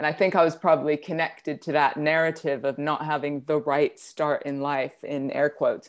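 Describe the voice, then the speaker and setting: On a very clean recording with a silent background, a woman with a very deep, low voice speaks in a monotone, flat way at a moderate pace with hardly any pauses. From Netherlands. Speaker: mental health consultant, business owner. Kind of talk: casual interview, personal testimony.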